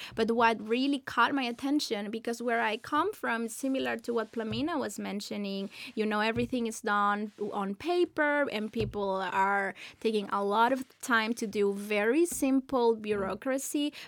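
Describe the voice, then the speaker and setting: In a very clean recording with a silent background, a woman speaks at a moderate pace and fairly high pitch in an ordinary speaking voice. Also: ordinary pitch variation. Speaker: nonprofit board chair. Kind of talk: interview.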